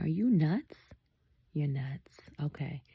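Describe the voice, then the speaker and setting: Somewhat breathy and dark, mellow in tone, a woman speaks at a fairly slow pace with ordinary pitch variation, in a dry, close sound with no echo. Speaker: book vlogger. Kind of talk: casual reading vlog commentary. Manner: animated.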